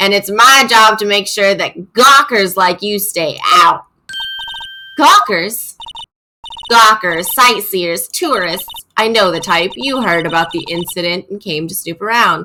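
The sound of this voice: A strained put-on character voice comes through at a fairly high pitch. The pace is fairly slow.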